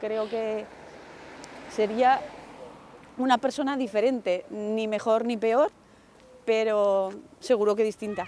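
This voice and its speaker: Her fairly high voice moves at a very slow pace, with fairly even intonation and long, frequent pauses from this woman. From Aragon, Spain (village near Huesca). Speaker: neighborhood resident. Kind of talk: interview testimony.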